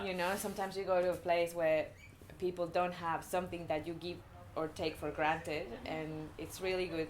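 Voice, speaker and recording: Monotone and flat, a woman with a fairly low pitch talks at a fairly quick pace. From Mexico. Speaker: surfer. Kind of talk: interview answer.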